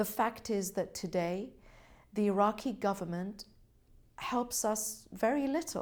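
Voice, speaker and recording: A woman speaks with a British accent at medium pitch and a fairly slow pace. Her pitch varies in an ordinary way, and the recording is very clean with a silent background. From Britain. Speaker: government representative. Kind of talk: interview. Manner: formal.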